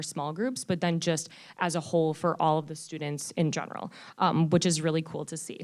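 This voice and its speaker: A woman talks at a fairly quick pace. The recording is very clean with a silent background. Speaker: teacher. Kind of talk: presentation to school board. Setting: board meeting with microphone. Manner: loud; animated.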